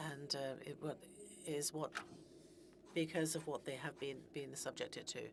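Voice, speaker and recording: A woman with a very deep, low pitch talks at a fairly slow pace, leaving long, frequent pauses. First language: Greenlandic. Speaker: politician. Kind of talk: formal speech. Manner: halting.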